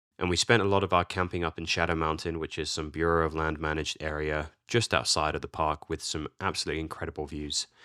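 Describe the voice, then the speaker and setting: Rushing at a very fast pace with hardly any pauses, a man with an English accent has a very deep, low pitch, a bright, sharp tone and fairly even intonation, recorded with a dry, close sound and no echo. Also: very clean recording, silent background. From England. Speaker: photography YouTuber. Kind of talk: vlog narration.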